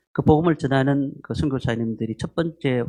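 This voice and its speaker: Speaking in a strong Gyeongsang accent, a man with a medium pitch talks at a moderate pace with lively intonation. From Gyeongsang region, Korea. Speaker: pastor. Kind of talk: sermon. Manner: frequent filler hesitations.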